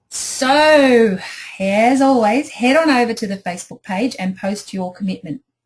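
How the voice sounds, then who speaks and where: With an Australian accent, a woman speaks fairly slowly in a fairly high voice, her intonation lively and her tone enthusiastic. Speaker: life coach. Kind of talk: online group coaching talk. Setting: home office.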